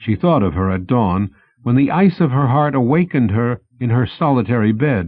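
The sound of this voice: Lively intonation in an unforced reading voice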